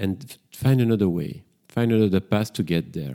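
In a very clean recording with a silent background, a man with a French accent speaks fairly slowly in a dark, mellow tone, fairly low in pitch, with lively intonation. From Brussels, Belgium. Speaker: psychotherapist and podcast host. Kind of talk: solo podcast introduction, casual monologue. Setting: home kitchen with microphone. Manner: slightly hesitant, reflective.

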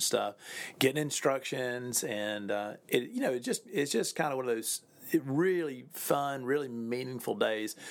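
At a moderate pace, a man speaks in an unremarkable speaking voice with ordinary pitch variation. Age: 40s. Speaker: pastor. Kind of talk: podcast monologue. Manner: warm, casual with fillers.

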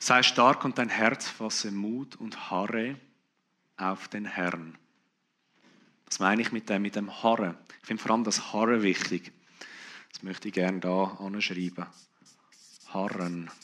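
Long, frequent pauses break up a fairly slow pace. The tone is bright and sharp, the intonation fairly even. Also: man, fairly low pitch for a man. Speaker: preacher. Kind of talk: sermon.

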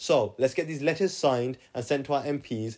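A man with a British accent speaks at a fairly quick pace and ordinary pitch variation against a quiet background. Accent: British, regional. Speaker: podcast host. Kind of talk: casual monologue podcast. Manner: casual, energetic.

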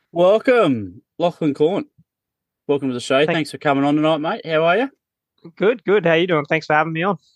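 A man with an Australian accent talks at a fairly quick pace with a fairly high pitch and lively intonation, recorded with a dry, close sound with no echo. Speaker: podcast host. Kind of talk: casual chat.

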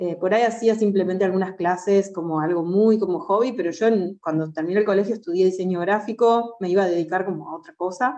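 Very fast and with hardly any pauses, a woman talks in a dark, mellow tone at medium pitch with fairly even intonation. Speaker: jazz singer. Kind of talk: interview. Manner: halting.

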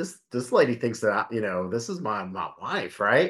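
This man talks at a fairly slow pace with a plain, everyday voice at a medium pitch. The background is quiet. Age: 40s. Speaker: podcast host, fitness coach. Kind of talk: casual chat.

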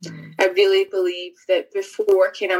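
A woman in a Scottish accent at a moderate pace, with music in the background. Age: 30s. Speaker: author. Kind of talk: casual chat. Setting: video call.

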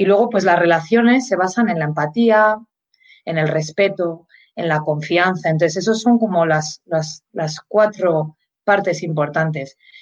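The woman's pitch is fairly low, with ordinary variation. Her pace is fairly slow. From Spain. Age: 40s. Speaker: mindfulness and leadership consultant. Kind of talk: interview. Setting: live video stream.

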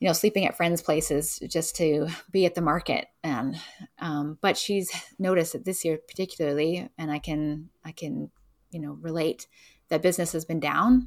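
A woman with a Canadian accent and a normal speaking voice, fairly low in pitch, ordinary pitch variation, a moderate pace, a very clean recording with a silent background. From Vancouver, Canada. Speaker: local food distribution business owner. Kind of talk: casual interview.

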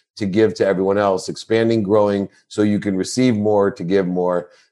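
An unremarkable speaking voice from a fairly low-pitched man, with ordinary pitch variation, at a moderate pace, over a quiet background. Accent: American. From Ohio, US. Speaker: sports marketing executive and speaker. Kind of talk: interview.

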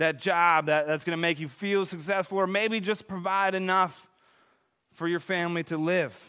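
In a very clean recording with a silent background, a man speaks loud and high-pitched, his tone bright and sharp, at a moderate pace with fairly even intonation. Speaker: pastor. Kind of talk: sermon. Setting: church.

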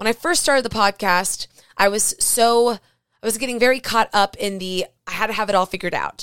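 At a fairly high pitch, a woman speaks in an animated tone and at a fairly quick pace. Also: ordinary pitch variation. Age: 30s. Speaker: podcast host. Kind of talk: casual monologue.

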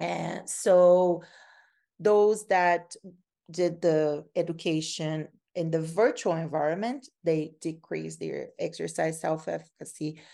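Speaking very slowly in a Brazilian accent, a woman uses a fairly low, dark, mellow voice with fairly even intonation. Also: quiet background. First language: Portuguese. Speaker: cardiac rehab researcher and professor. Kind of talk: interview, explaining research. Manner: somewhat halting, with repetitions.

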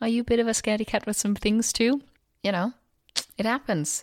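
In a Danish accent, a woman speaks with a dry, close sound with no echo, on a very clean recording with a silent background. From Denmark. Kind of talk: solo podcast monologue. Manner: casual, animated.

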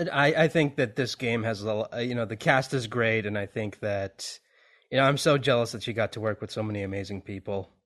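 Here is a man with an ordinary speaking voice at a medium pitch. He speaks at a fairly quick pace with ordinary pitch variation. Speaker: podcast host. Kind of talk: casual interview chat.

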